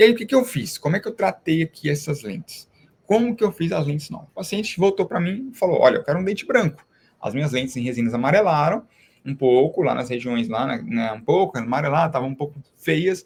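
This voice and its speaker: A man speaks at a very fast pace in a high voice. His pitch swings very widely. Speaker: dentist teaching other dentists. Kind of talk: online live class. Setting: live stream.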